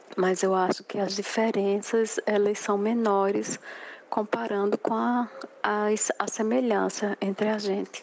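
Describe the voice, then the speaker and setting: Over noticeable background noise, a woman talks at a fairly slow pace with a medium pitch. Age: 40s. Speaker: businesswoman. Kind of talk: testimony.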